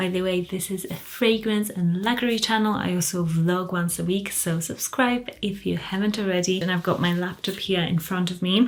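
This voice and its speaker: A woman speaks with fairly even intonation. Noticeable background noise runs underneath. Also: medium pitch for a woman, moderate pace. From Poland, moved to England at thirteen. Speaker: fragrance and luxury YouTuber. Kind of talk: casual Q&A video. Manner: quiet, soft-spoken.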